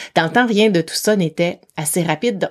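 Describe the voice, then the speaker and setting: Here a woman talks at a moderate pace at medium pitch. She uses a plain, everyday voice. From Quebec City, Quebec. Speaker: psychologist and executive coach. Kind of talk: interview.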